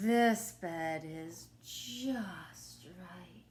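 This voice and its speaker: The voice is female-sounding, pitched in the middle. It is a put-on character voice. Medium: read story.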